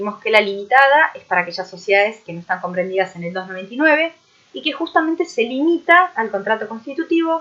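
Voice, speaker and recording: This is a woman speaking. Her voice shows very wide pitch swings. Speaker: university lecturer. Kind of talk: recorded online lecture. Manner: many filler hesitations.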